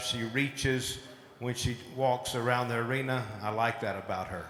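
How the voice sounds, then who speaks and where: A man with an American accent speaks at a fairly slow pace and with fairly even intonation, amid audible room echo and noticeable background noise. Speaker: cattle show judge. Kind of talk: live show judging commentary.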